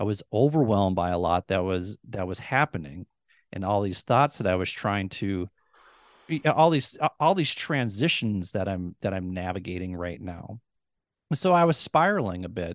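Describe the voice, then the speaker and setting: Against a quiet background, a man with an Upper Midwest accent and a fairly low pitch talks at a moderate pace with lively intonation. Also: dry, close sound with no echo. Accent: Upper Midwest American. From US Midwest (rural Minnesota). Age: 40s. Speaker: former dean of students, podcaster. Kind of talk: interview conversation. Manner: articulate, few fillers.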